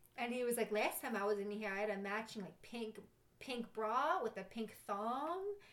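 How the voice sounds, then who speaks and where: A woman with a New York accent and a fairly high pitch, ordinary pitch variation, a moderate pace, and noticeable background noise. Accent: New York (Staten Island). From New York, Staten Island. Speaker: bartender. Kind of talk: casual chat, storytelling.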